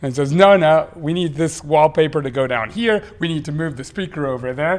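Fairly high in pitch, a man speaks in a plain, everyday voice. His pace is moderate, with ordinary pitch variation. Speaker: podcast co-host. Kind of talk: casual chat between couple, podcast.

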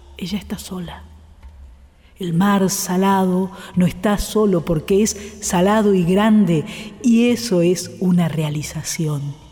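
Over background music, someone speaks very slowly in a solemn tone. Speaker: radio host reading literature. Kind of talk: literary reading aloud of prose and poetry. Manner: slow, measured, contemplative; intimate, solemn, poetic.

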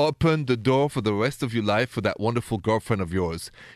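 A man with a strong French accent and medium pitch speaks with lively intonation, in a dry, close sound with no echo and a quiet background. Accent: thick French. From Paris, France. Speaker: radio relationship advice host.

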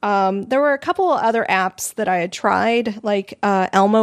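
A woman with an American accent talks at a moderate pace in an unremarkable speaking voice, her pitch varying in an ordinary way. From Arizona. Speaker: podcast host. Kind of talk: casual chat. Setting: live stream.

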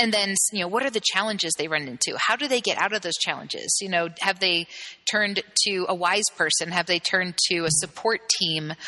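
Over noticeable background noise, a woman speaks at a fairly quick pace with medium pitch, ordinary pitch variation and very even loudness. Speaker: gender therapist. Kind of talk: interview conversation.

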